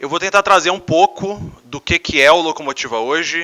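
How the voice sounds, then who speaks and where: A bright, sharp male voice at a moderate pace with ordinary pitch variation, in a dry, close sound with no echo. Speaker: American football team executive. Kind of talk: conference talk. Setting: stage with audience.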